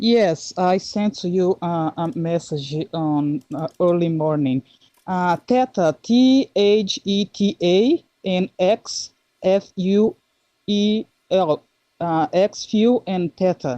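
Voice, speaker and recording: A woman with a Brazilian Portuguese accent speaks at a very slow pace with lively intonation. Her medium-pitched voice has a dark, mellow tone, and the sound is dry and close, with no echo. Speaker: listener asking questions. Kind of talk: casual chat. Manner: halting.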